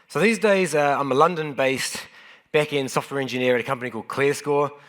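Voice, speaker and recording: Speaking very fast with a New Zealand accent, a man uses a fairly high pitch and ordinary pitch variation. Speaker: software engineer and conference speaker. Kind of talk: conference talk. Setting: stage with audience. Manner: casual, self-deprecating with frequent fillers.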